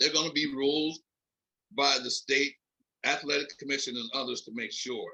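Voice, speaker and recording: A man with an American accent talks at a fairly quick pace in a bright, sharp, fairly high voice. His intonation is fairly even, his loudness swings widely, and he takes long, frequent pauses. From US Northeast (Philadelphia). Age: 70s. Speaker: veteran MMA event coordinator. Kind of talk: podcast interview.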